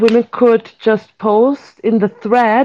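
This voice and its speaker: A woman speaks at a fairly high pitch with a dark, mellow tone. Her pace is very slow. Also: quiet background. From Austria. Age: 30s. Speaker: event organizer, activist. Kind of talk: online group discussion.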